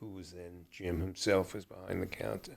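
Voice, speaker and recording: Speaking fairly quickly, a man with a New York accent has a very deep, low pitch. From New York, Brooklyn. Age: 80s+. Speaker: retired lawyer. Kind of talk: interview about his life.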